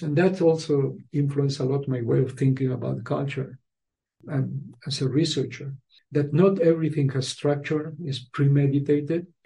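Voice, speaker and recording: With a Spanish accent, a man speaks at a fairly slow pace in a fairly high pitch, his tone dark and mellow, somewhat breathy, with fairly even intonation. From Uruguay. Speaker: musicology professor. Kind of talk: interview.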